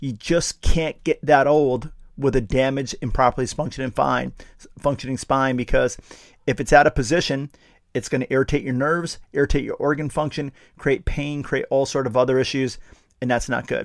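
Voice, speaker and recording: An ordinary speaking voice moves at a fairly quick pace with fairly even intonation on a very clean recording with a silent background. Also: man, fairly high pitch for a man. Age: 50s. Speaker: chiropractor and podcast host. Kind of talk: solo podcast monologue. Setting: studio. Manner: casual, with frequent fillers and repetitions.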